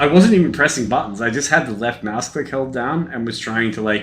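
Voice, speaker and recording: A man speaks with an Australian accent and lively intonation. Audible room echo and noticeable background noise surround his voice. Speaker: gaming streamer. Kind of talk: casual gameplay commentary.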